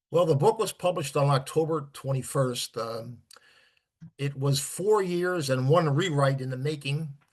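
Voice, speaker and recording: A somewhat breathy man's voice, fairly high in pitch, with an American accent. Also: ordinary pitch variation, moderate pace. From New Jersey, Elizabeth. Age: 70s. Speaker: author and weather enthusiast. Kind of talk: interview.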